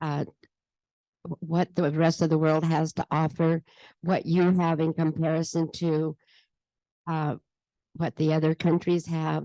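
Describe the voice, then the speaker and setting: Speaking at a fairly slow pace with long, frequent pauses, a woman has a fairly low pitch, a dark, mellow tone and monotone, flat intonation, recorded with a dry, close sound and no echo. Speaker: travel advisor. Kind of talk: panel discussion. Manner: loud.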